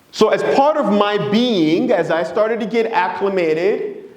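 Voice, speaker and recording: A man talks with a high pitch. Noticeable background noise and audible room echo surround him. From Democratic Republic of Congo. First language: Swahili, Lingala and French. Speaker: presenter, consultant. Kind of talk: presentation talk.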